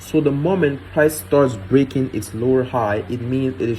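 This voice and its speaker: Over noticeable background noise, a man with a medium pitch speaks at a moderate pace with ordinary pitch variation. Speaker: trading educator. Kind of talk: tutorial. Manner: casual.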